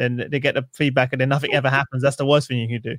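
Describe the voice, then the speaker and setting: In a London accent, a man talks at a very fast pace with a medium pitch. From East London. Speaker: podcast host. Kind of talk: interview conversation.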